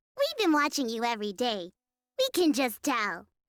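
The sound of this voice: In a cartoonish character voice, a woman speaks at a high pitch with lively intonation and a moderate pace.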